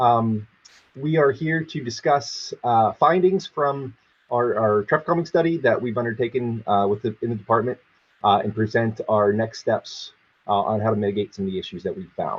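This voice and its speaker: At medium pitch, a man sounds somewhat breathy and uses lively intonation. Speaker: city traffic engineer. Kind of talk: public presentation. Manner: fast; halting, many fillers.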